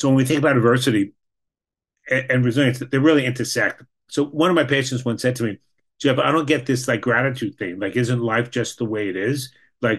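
A man with an American accent, a normal speaking voice, a medium pitch with ordinary variation, and a fairly quick pace. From New York. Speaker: clinical social worker. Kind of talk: presentation.

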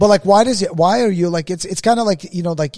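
Speaking at a very fast pace, a man uses a dark, mellow tone with ordinary pitch variation. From Russia. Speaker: podcast co-host. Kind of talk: casual chat.

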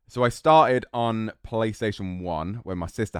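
On a very clean recording with a silent background, a man speaks in an English accent. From English Midlands, Solihull. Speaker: competitive gamer and streamer. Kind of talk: casual chat.

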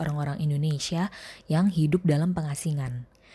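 A woman's somewhat breathy, very deep and low voice at a fairly quick pace, with ordinary pitch variation, in a very clean recording with a silent background. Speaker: podcast host and reader; school teacher. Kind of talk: literary audiobook reading of a short story.

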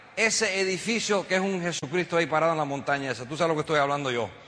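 Against noticeable background noise, a man uses a raised, projected voice with an animated tone. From United States, Cuban family. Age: 50s. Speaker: network marketing entrepreneur, motivational speaker. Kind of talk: motivational speech. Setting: stage with audience.

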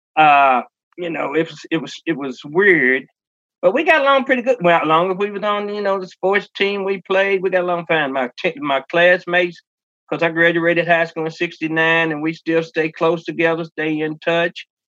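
A man speaks with a Kentucky accent in a bright, sharp tone and a high pitch. His pitch varies in an ordinary way at a moderate pace. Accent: Kentucky Southern US. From rural Kentucky, Henry County. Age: 60s. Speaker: singer and stage performer. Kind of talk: interview.

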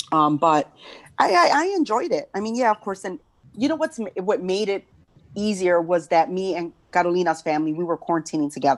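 At a fairly quick pace, a woman with a Chicago South Side accent speaks at a medium pitch with lively intonation. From South Side Chicago. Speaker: podcast host. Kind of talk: casual chat. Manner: halting.

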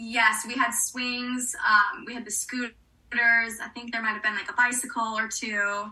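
A woman with an American accent speaks at a fairly slow pace in a flat, monotone delivery and a fairly high pitch, her loudness swinging widely over noticeable background noise. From US South, New Orleans. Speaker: actress. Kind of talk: casual chat.

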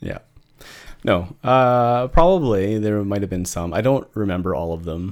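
A man talks with lively intonation. His pitch sits fairly low. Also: moderate pace. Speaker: podcast co-host. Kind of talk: casual chat. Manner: halting, fumbling over words.

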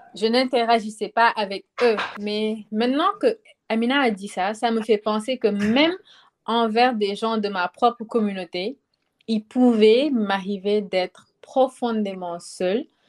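On a very clean recording with a silent background, dry and close with no echo, a woman with a fairly high pitch speaks at a very slow pace with ordinary pitch variation. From Senegal. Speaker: student. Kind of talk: casual chat.

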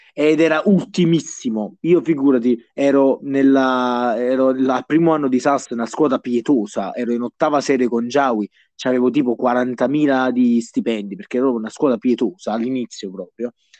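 With a slight Neapolitan accent, a man talks at a moderate pace and medium pitch, showing ordinary pitch variation in a dry, close sound with no echo. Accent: slight Neapolitan-sounding. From southern Italy, Bisceglie (Apulia). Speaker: fantasy football league player. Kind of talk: casual chat.

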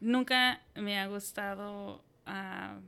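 The speaker is a woman with a central Mexican accent. Her tone is bright and sharp. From Mexico, Hidalgo (Tulancingo). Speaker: entrepreneur. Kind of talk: interview.

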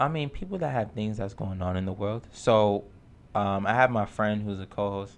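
A man with a New York accent speaks at a moderate pace, his fairly low pitch showing ordinary pitch variation. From New York, Lower East Side. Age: 20s. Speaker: community TV host. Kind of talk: casual chat.

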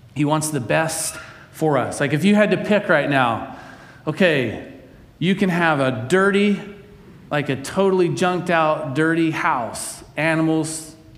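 The room echo is audible around a man with a fairly high voice. He talks fairly slowly, his pitch varying in an ordinary way. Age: 40s. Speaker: pastor. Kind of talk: sermon.

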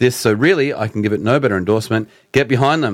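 The speaker is a man with an Australian accent. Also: very clean recording, silent background. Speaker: podcast host. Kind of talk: casual banter.

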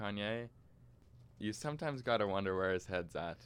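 A man talks at a fairly quick pace with a fairly low pitch in a plain, everyday voice. It is a very clean recording with a silent background. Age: young. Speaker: music podcast co-host. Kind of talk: casual chat.

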